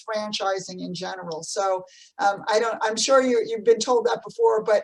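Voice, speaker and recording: Here a woman speaks with a New Jersey accent. Her pitch is fairly high and her intonation fairly even. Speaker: podcast host, business CEO. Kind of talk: interview. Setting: video call.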